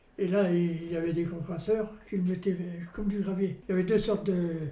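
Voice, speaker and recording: A man speaks at a moderate pace in a high pitch with a flat, monotone delivery, over noticeable background noise and audible room echo. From Normandy, France. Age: 80s+. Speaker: retired miner. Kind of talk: interview testimony. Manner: halting.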